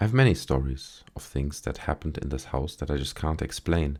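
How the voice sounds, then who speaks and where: A soft-spoken man with vocal fry, a calm tone and a dark, mellow timbre at a moderate pace, on a very clean recording with a silent background. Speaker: story narrator. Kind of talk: sleep story. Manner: soft-spoken, calm.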